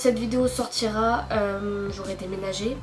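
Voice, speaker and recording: Music plays behind a woman whose speech carries audible room echo. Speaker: YouTuber and novel writer. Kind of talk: casual vlog chat; voice-over narration. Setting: sitting on a sofa at home. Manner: hesitant, many filler sounds.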